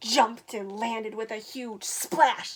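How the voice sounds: The intonation stays fairly even in a natural reading voice.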